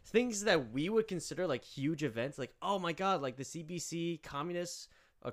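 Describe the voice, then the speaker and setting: An ordinary speaking voice moves at a fairly quick pace with lively intonation, on a very clean recording with a silent background. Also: man. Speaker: podcast co-host, leftist organizer. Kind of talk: casual chat.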